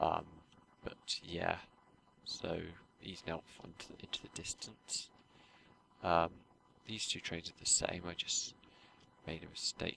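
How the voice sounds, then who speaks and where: A quiet man's voice, very deep and low, monotone and flat, at a fairly slow pace. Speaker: gaming YouTuber. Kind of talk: gameplay commentary. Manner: hesitant, many fillers.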